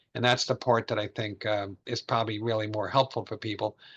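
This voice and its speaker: A man's medium-pitched voice, bright and sharp in tone, fairly quick, with an American accent, over a quiet background. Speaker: financial advisor. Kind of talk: webinar presentation. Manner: fast; filler-heavy, halting.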